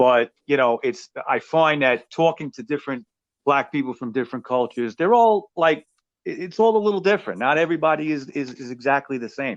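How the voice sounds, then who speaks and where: A man with a New York accent talks at a fairly quick pace in a fairly high pitch, his intonation lively. The sound is dry and close with no echo, over a quiet background. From New York City (Brooklyn). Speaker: podcast host. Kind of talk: casual interview chat.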